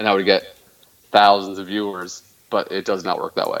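Speaking in a Canadian accent, a man keeps a moderate pace. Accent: Canadian, noticeable to others. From Canada. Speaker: video game streamer. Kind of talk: casual interview. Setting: remote call-in.

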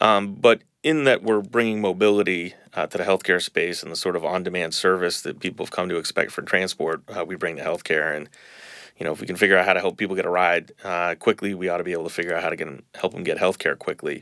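A man with an American accent, very deep and low in pitch yet bright and sharp in tone, at a very fast pace with ordinary pitch variation, in a very clean recording with a silent background. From Boston, US Northeast. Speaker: healthcare startup founder. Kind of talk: interview.

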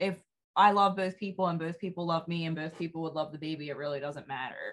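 This woman has an unremarkable speaking voice, pitched fairly low, with ordinary pitch variation. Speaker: podcast host. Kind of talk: casual chat.

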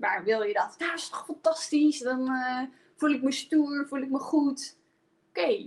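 A woman's high-pitched voice at a moderate pace. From Friesland, Netherlands. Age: 20s. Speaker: positive psychologist and coach. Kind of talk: personal testimony in a live stream. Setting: live video stream.

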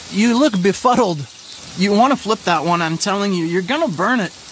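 A man speaks with an American accent, pitched high and with lively intonation. Noticeable background noise runs underneath. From rural Nebraska. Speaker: improv comedian and musician. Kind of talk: casual chat. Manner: animated.

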